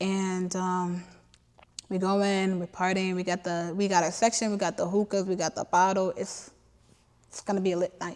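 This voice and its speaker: This woman has an unremarkable speaking voice and a medium pitch. She talks at a moderate pace. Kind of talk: casual talk to camera. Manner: excited, conversational.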